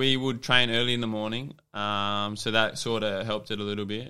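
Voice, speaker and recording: In an Australian accent, a man with a fairly low pitch and a bright, sharp tone speaks at a fairly quick pace with fairly even intonation. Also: very clean recording, silent background. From New South Wales, Australia (Dubbo). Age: 20s. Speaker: professional footballer. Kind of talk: casual interview. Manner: hesitant, many fillers.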